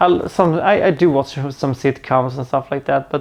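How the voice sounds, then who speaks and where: A man speaks with a Swedish accent in a fairly high voice. His pace is moderate and his pitch variation ordinary. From Sweden. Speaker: movie reviewer YouTuber. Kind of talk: casual Q&A vlog to camera. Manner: halting, with frequent repetitions and fillers.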